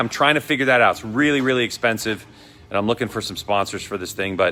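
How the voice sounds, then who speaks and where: A man speaks with a Boston accent. Music plays in the background. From Boston, US. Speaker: motorcycle vlogger. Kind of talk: casual vlog talk. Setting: motorcycle dealership. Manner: casual, rambling delivery.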